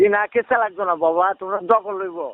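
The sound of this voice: High pitch from a man with ordinary variation, a moderate pace and a dry, close sound with no echo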